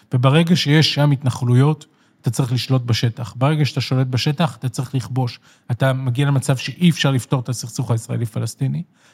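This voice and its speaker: Fairly even intonation at a fairly quick pace, somewhat breathy. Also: man, medium pitch for a man. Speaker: left-wing political commentator. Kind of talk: interview. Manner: emphatic.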